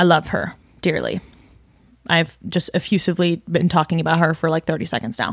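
The speaker uses vocal fry at a fairly quick pace, with fairly even intonation. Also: woman, fairly low pitch for a woman. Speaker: podcast host. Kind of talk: casual monologue.

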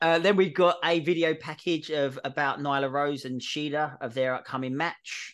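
A man with an unremarkable speaking voice talks at a fairly high pitch and moderate pace, with hardly any pauses. His intonation stays fairly even against a quiet background. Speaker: wrestling podcast host. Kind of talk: casual chat, show review.

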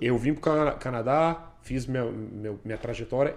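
A man with a plain, everyday voice speaks with fairly even intonation. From Brasília, Brazil. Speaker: police officer. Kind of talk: interview.

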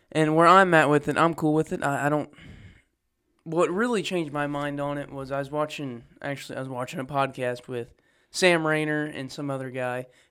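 A man in a plain, everyday voice speaks at a fairly quick pace with a fairly high pitch and fairly even intonation. The recording is very clean, with a silent background. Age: young. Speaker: church podcast co-host. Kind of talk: casual chat. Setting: unused Sunday school room at church.

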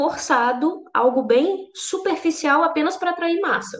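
A woman speaks with ordinary pitch variation. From Brazil, Vitória, Espírito Santo. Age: 20s. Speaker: singer-songwriter and Spanish teacher. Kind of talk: casual chat.

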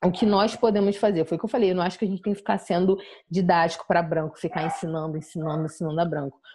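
With a somewhat breathy, fairly low voice, a woman speaks very fast with ordinary pitch variation. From São Gonçalo area, Rio de Janeiro, Brazil. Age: 20s. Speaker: journalist and activist. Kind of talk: interview conversation.

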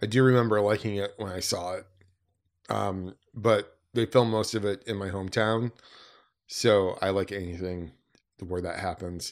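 With a Midwestern US accent, a man with a fairly low pitch and fairly even intonation speaks at a moderate pace with long, frequent pauses, on a very clean recording with a silent background. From Detroit area, Michigan. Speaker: podcast host. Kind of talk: casual podcast discussion.

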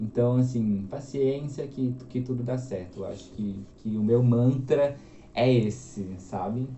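A man at a very slow pace and medium pitch, with ordinary pitch variation and audible room echo. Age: 20s. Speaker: copywriter and journalist. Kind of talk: casual interview chat.

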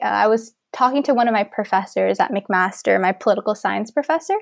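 This is an ordinary speaking voice with a Canadian accent. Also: woman. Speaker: university student and volunteer coordinator. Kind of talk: interview.

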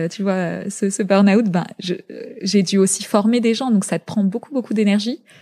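The voice is somewhat breathy, with a dark, mellow tone, fairly even intonation and a fairly slow pace. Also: woman. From France, Paris suburbs (born in Zaire). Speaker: fashion entrepreneur. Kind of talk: interview.

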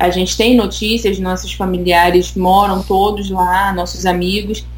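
Fairly slow speech from a woman, amid noticeable background noise and audible room echo. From Brazil, Rio de Janeiro. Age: 20s. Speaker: immigrant on work permit. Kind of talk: casual interview chat.

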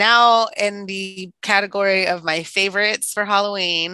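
Bright and sharp in tone, a woman's medium-pitched voice moves at a very slow pace. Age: 30s. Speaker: podcast co-host. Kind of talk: casual chat.

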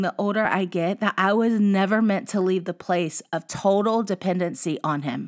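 This woman talks at a moderate pace with an animated tone. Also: very clean recording, silent background. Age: 30s. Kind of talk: faith-based solo talk.

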